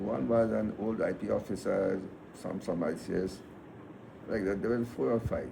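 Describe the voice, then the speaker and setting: Using vocal fry, a man with a fairly low pitch speaks at a moderate pace with ordinary pitch variation and long, frequent pauses. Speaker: retired police officer. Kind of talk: personal storytelling.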